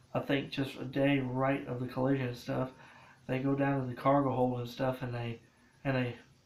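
A man speaks at a moderate pace and medium pitch, his intonation monotone and flat, his tone slightly mellow, with audible room echo around him.

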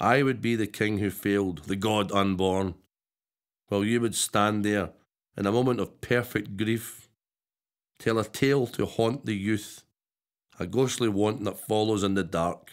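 A man with a fairly low pitch talks at a moderate pace, his loudness very even and his intonation fairly even. He takes long, frequent pauses against a quiet background. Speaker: poet. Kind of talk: poetry reading. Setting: studio. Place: studio.

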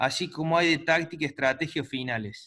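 Against a quiet background, a man speaks at a moderate pace. His high-pitched voice has a bright, sharp tone. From Argentina. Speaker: chess course organizer; host or moderator of online chess talk. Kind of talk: casual moderation; moderator remarks in online talk. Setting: video call. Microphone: video call.

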